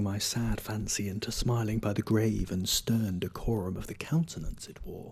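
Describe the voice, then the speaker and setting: This speech goes fairly slowly with a somewhat breathy quality. The pitch shifts an ordinary amount. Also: man. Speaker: voice actor. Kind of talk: poetry reading. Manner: dramatic, expressive.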